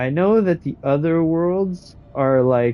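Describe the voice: A man talks at a slow pace. His pitch is fairly high, with ordinary pitch variation.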